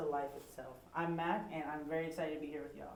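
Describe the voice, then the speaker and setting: A woman with an American accent, over noticeable background noise. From California. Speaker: podcast co-host, military veteran. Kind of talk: casual chat.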